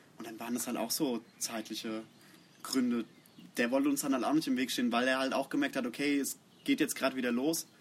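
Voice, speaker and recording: Pitched at a medium level, the man's voice carries fairly even intonation. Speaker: bass player in a metal band. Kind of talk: casual interview. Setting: outdoors in a garden.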